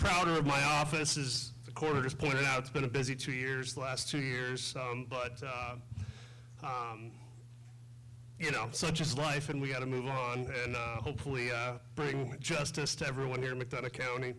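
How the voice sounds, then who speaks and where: Monotone, flat delivery at a moderate pace, with audible room echo. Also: man, medium pitch for a man. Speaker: state's attorney, election candidate. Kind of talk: candidate forum speech. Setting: school library forum with audience, microphone. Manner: loud.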